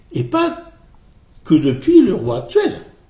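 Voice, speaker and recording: A man's very slow speech with audible room echo. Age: 60s. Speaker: political commentary vlogger. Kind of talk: casual monologue vlog. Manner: halting, many hesitations and repetitions.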